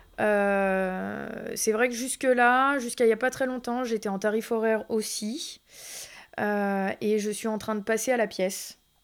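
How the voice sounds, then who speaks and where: The recording is very clean, with a silent background. A woman with a fairly high pitch speaks at a very slow pace with fairly even intonation. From Thonon-les-Bains, Haute-Savoie, France. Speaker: tattoo artist. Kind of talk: interview. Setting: tattoo studio.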